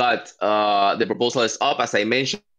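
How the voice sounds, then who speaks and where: A man's fairly low voice at a moderate pace, with a non-native accent. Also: quiet background. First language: not English. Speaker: working group steward, meeting facilitator. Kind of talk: online work meeting. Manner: halting, many fillers.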